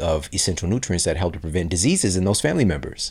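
This man speaks with an American accent at a very deep, low pitch. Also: very clean recording, silent background. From US, inner city. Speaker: health podcast host and author. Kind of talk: interview conversation. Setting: podcast studio.

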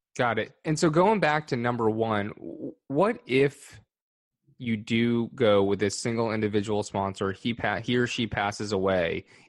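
A man with a plain, everyday voice speaks at a moderate pace and medium pitch, with ordinary pitch variation against a quiet background. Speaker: podcast co-host. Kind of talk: interview.

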